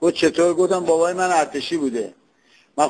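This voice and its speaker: The pace is very fast. A man delivers it at a fairly high pitch. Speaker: comedian. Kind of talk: comic monologue imitating regional accents.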